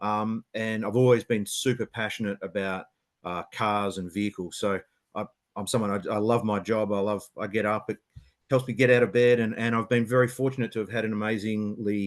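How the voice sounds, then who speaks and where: A man speaks at a fairly low pitch in a monotone, flat intonation. The sound is dry and close, with no echo. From Western Australia, Perth. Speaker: automotive engineering senior manager. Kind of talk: webinar panel talk. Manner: hesitant, many fillers and repeats.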